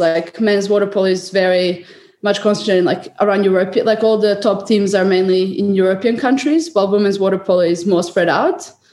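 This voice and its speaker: A woman speaks at a moderate pace with a Serbian accent. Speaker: water polo player. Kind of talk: interview.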